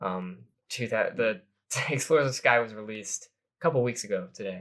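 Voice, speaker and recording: A man speaks with a medium pitch and ordinary pitch variation. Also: fairly quick pace. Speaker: podcast co-host. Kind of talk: casual chat. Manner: fast; animated.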